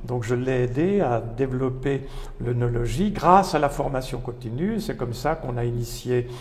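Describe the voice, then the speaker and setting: A man speaks at a medium pitch and a moderate pace, with ordinary pitch variation. Noticeable background noise and audible room echo come through on the recording. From France, Loire valley (Pouilly-sur-Loire / Sancerre). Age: 70s. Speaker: retired professor, wine author. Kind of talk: interview. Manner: halting, with frequent repetitions.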